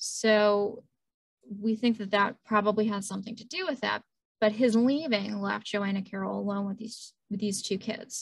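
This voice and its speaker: Somewhat breathy and fairly high in pitch, a woman speaks at a moderate pace with fairly even intonation and big swings in loudness. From Louisiana. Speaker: librarian. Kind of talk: lecture. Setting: video call.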